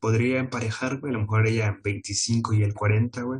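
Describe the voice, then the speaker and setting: A man with a Mexican accent speaks at a moderate pace. His pitch is medium, with ordinary variation. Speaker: podcast co-host. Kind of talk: casual chat.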